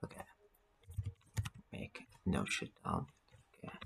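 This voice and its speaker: A man speaks with a non-native accent. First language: not English. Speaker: networking tutorial instructor. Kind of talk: tutorial.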